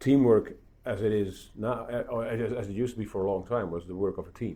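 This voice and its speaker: A man talks at a very fast pace with fairly even intonation. His tone is dark and mellow, with a fairly low pitch. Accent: Dutch. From Netherlands. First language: Dutch. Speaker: podcast host, tech journalist. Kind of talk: interview conversation. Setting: at a conference event. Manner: halting, many repeats and fillers.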